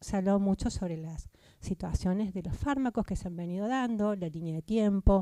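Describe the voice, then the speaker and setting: A woman's medium-pitched voice, dark and mellow, with ordinary pitch variation at a moderate pace, in a dry, close sound with no echo. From Argentina, Córdoba. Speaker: psychiatrist. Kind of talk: conference talk. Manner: halting, with fillers.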